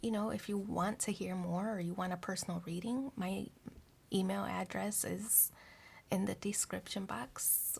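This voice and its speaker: Soft-spoken delivery at a moderate pace comes through in a very clean recording with a silent background. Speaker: tarot reader. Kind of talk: tarot reading. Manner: quiet, hard to hear.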